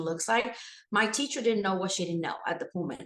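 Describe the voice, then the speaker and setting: A woman speaks in a Spanish accent at a medium pitch. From Puerto Rico. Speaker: school administrator and educator. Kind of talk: interview.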